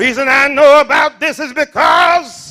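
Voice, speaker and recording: Shouting, a man's voice comes across with a bright, sharp tone. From US South. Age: 70s. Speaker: pastor. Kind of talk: sermon. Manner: animated.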